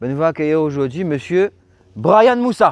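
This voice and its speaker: A man's fairly high-pitched, lively-sounding delivery in a plain, everyday voice. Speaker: car channel host. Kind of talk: casual video presentation and interview.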